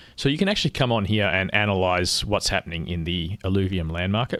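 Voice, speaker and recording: A man speaks at a very fast pace and a fairly low pitch with ordinary pitch variation. The recording is very clean, with a silent background. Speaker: crypto gaming streamer. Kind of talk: live stream tutorial. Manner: casual, explanatory.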